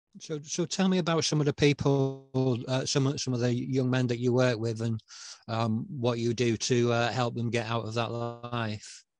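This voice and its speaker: A man with a northern English accent at a moderate pace. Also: medium pitch for a man, ordinary pitch variation. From northern England. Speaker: online show host. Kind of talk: interview.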